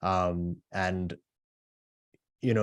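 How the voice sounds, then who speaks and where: A man with an Australian accent speaks in a very deep, low voice with monotone, flat intonation, the sound dry and close with no echo. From Australia (moved from South Korea at eight). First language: Korean. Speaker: author. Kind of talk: book talk. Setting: video call.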